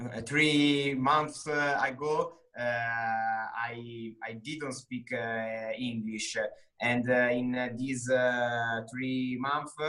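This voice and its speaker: A man with an Italian accent, medium pitch, a flat monotone delivery and a very slow pace. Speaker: English student, bank employee. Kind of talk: interview. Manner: halting, many fillers.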